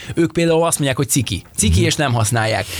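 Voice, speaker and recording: Animated in tone, a man speaks at a fairly high pitch with lively intonation. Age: middle-aged. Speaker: podcast co-host. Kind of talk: casual chat.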